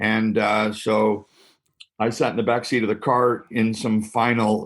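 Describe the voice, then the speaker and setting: A man with a Canadian accent talks in a fairly low pitch with a monotone, flat intonation. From Canada (Ontario). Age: 60s. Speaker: pastor. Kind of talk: interview.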